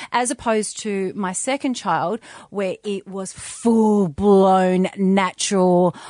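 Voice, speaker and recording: A woman with an Australian accent speaks at a very slow pace, medium in pitch with fairly even intonation, in a dry, close sound with no echo. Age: 40s. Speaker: doula and mother. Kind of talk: casual chat.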